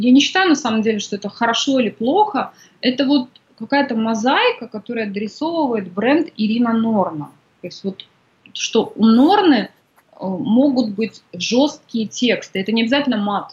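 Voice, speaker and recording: A woman with an unremarkable speaking voice, fairly high in pitch, at a moderate pace, with lively intonation and big swings in loudness. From Kazakhstan. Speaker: women's coach and author. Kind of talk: interview.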